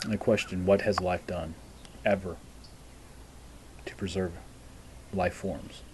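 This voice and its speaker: Long, frequent pauses break up a man's very deep, low voice as he speaks at a fairly slow pace with ordinary pitch variation over noticeable background noise. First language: not English. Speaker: vlogger. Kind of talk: monologue vlog.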